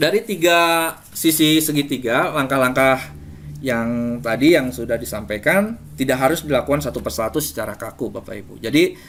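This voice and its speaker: The speech moves at a moderate pace. Its intonation is lively. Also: man. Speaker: teacher presenting to fellow teachers. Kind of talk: webinar presentation. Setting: online webinar. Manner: firm, forceful delivery.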